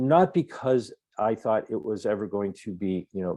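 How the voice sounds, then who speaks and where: A man's dark, mellow tone at medium pitch, with ordinary pitch variation at a moderate pace, dry and close with no echo over a quiet background. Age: 60s. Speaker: activist speaker. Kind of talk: webinar talk. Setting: online webinar. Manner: halting, with frequent word repetitions.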